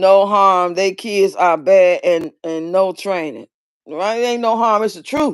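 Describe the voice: A woman talks at a fairly slow pace in a clear, smooth tone. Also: medium pitch for a woman, ordinary pitch variation.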